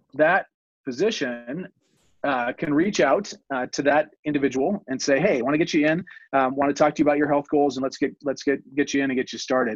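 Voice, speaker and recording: This man has an unremarkable speaking voice, fairly high in pitch with ordinary variation, talking at a fairly quick pace in a quiet background with a dry, close sound and no echo. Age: 50s. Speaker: healthcare company CEO. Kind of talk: interview conversation.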